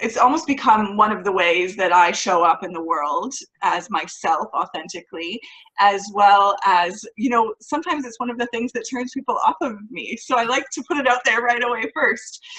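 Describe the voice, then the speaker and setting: A woman with a Canadian accent talks in an ordinary speaking voice at a fairly high pitch. Her pace is moderate and her intonation lively. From Canada. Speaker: author, speaker and mindset coach. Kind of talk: interview.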